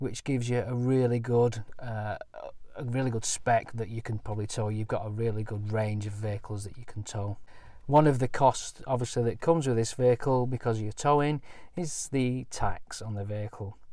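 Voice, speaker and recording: A man with a Lancashire accent speaks at a moderate pace. His medium-pitched voice has a dark, mellow tone and fairly even intonation. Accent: Bolton. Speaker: caravanning vlogger. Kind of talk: product review walkthrough. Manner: halting, many fillers.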